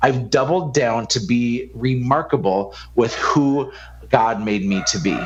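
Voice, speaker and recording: With audible room echo, a man speaks in an animated tone at a fairly slow pace, with a medium pitch and ordinary pitch variation. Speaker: business coach and entrepreneur. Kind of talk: podcast interview. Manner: loud.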